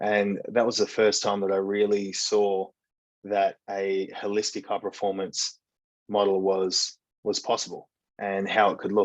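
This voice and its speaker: An Australian accent from a man, fairly low-pitched, at a fairly slow pace with monotone, flat intonation. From Western Australia, rural farming town. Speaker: breathwork and high performance coach. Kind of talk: podcast interview.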